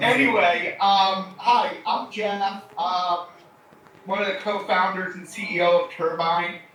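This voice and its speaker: Amid audible room echo and noticeable background noise, a man with a high pitch talks at a very slow pace, his intonation fairly even but his loudness swinging widely. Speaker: company co-founder and educator. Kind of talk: lecture. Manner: casual.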